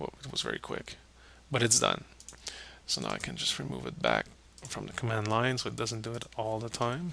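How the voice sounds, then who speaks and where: Long, frequent pauses break up a man's fairly quick speech, with noticeable background noise behind him. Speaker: software tutorial presenter. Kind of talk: screen-recorded tutorial.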